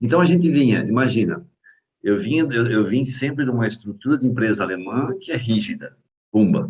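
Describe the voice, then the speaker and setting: A somewhat breathy man at medium pitch, at a fairly quick pace with lively intonation. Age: 60s. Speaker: mentoring session participant. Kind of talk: group video call discussion. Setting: video call.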